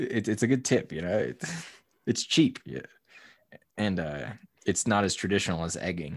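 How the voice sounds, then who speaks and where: A man speaks at a moderate pace with very wide pitch swings and long, frequent pauses. The recording is very clean, with a silent background. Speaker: podcast host. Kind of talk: casual chat. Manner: laughs often, easygoing.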